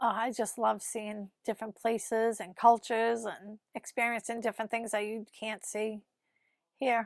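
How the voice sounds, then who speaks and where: A woman with a Boston accent speaks quietly at a fairly high pitch and a moderate pace, her intonation monotone and flat. The sound is dry and close with no echo, on a very clean recording with a silent background. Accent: Boston accent, non-rhotic. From Massachusetts, Winthrop near Boston. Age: 50s. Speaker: office worker, interviewee. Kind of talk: interview. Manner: calm, quiet.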